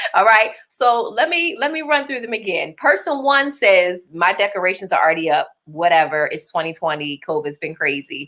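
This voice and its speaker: With a Baltimore accent, a woman talks in an animated tone with very wide pitch swings and hardly any pauses. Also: medium pitch for a woman, moderate pace. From Baltimore, Maryland. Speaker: livestream host and business coach. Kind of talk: live-streamed masterclass talk. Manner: animated, conversational.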